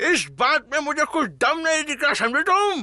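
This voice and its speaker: A man does a cartoonish character voice at an extremely high pitch and a moderate pace. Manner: whiny, comic.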